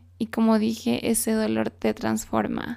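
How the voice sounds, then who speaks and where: Fairly high in pitch, a woman speaks. Her pace is very slow. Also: very clean recording, silent background. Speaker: self-help podcast host. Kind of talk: solo motivational monologue.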